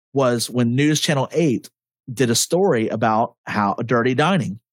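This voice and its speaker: At a fairly slow pace, a man with an unremarkable speaking voice talks at a medium pitch with lively intonation. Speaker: podcast host. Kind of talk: casual chat. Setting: video call.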